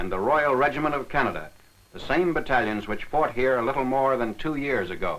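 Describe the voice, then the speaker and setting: A man at a fairly quick pace and medium pitch, with noticeable background noise. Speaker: newsreel narrator. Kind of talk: wartime newsreel narration.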